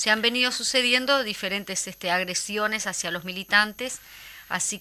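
Her tone is bright and sharp. The woman talks at a moderate pace with ordinary pitch variation. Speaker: radio co-host and actress. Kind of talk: casual chat.

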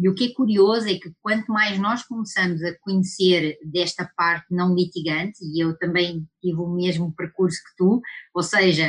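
The woman speaks in a European Portuguese accent at a moderate pace. Her medium pitch shows ordinary variation. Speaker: lawyer and webinar host. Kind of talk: webinar discussion. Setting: online webinar.

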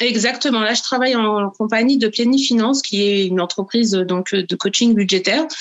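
With a normal speaking voice, a woman talks with hardly any pauses, very even loudness and ordinary pitch variation. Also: fairly high pitch for a woman, moderate pace. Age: 30s. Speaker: virtual assistant and budget coach. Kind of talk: interview.

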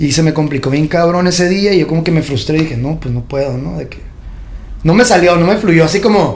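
Speaking at a very fast pace, a man with a fairly high pitch and ordinary pitch variation is heard with audible room echo and noticeable background noise. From Tijuana, Mexico. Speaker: trap artist and clothing designer. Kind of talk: casual interview. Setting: podcast studio.

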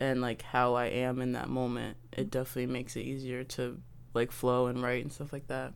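Someone with an American accent talks at a fairly quick pace in a flat monotone. Audible room echo surrounds the voice. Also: woman, very deep, low pitch for a woman. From Baltimore, Maryland. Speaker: musician and artist. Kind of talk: casual chat.

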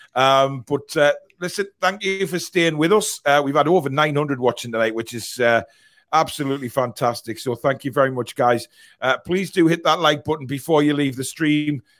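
With a Geordie accent, a man with fairly high pitch speaks at a moderate pace with ordinary pitch variation. The recording is very clean, with a silent background. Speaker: football fan podcast host. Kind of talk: casual chat. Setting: live stream.

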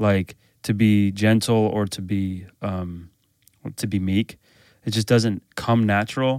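In an American accent, a man with a fairly low pitch speaks at a very slow pace, leaving long, frequent pauses. The recording is very clean, with a silent background. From Chicago, US Midwest. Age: 30s. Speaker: pastor. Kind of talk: casual interview.

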